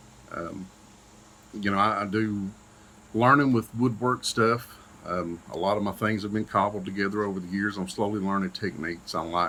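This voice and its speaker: A bright, sharp tone in an Eastern Kentucky accent, at a moderate pace with fairly even intonation. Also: man, fairly low pitch for a man. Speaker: paramedic and YouTuber. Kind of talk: channel introduction vlog. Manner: casual, many fillers.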